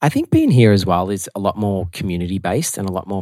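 In a very clean recording with a silent background, a man with an Australian accent speaks at a fairly low pitch and a fairly quick pace, his tone dark and mellow and his pitch varying in an ordinary way. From Melbourne, Australia. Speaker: podcast co-host, musician. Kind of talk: casual chat.

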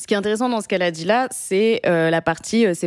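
A woman with a plain, everyday voice at a medium pitch and a fairly quick pace. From France, Paris. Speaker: podcast host. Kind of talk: casual chat.

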